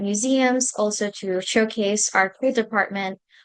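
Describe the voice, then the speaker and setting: A woman speaks with a Spanish accent at a fairly high pitch. Her pace is moderate and her intonation is monotone and flat. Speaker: graduate student intern. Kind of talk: presentation.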